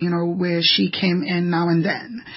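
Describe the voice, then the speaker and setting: A somewhat breathy woman at a fairly slow pace. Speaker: human trafficking activist and author, radio guest. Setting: radio studio.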